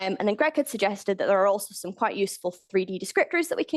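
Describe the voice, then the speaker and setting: A woman's medium-pitched voice, with lively intonation, comes through in a dry, close sound with no echo. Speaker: scientific software developer, conference speaker. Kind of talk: conference talk. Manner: fast.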